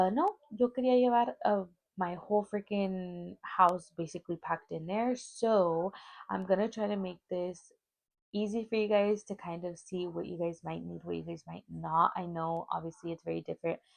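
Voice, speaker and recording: There are big swings in loudness as a woman talks at a moderate pace. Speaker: vlogger. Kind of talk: casual vlog. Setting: filming on phone at home. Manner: talkative. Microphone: clip-on mic on broken phone.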